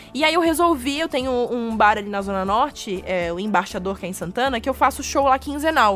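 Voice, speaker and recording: Music plays behind a woman with a fairly high pitch. Her intonation is lively, and she hardly pauses. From Florianópolis, southern Brazil. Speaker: comedian. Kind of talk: casual chat. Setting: studio.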